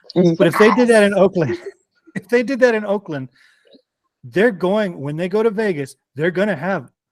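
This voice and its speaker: The sound is dry and close with no echo as a man speaks in a high pitch with lively intonation. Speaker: sports fan panelist. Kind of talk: casual chat. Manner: animated.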